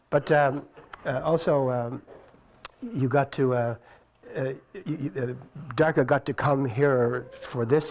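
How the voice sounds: Here a man talks at a fairly slow pace. His intonation stays fairly even. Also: slightly mellow tone.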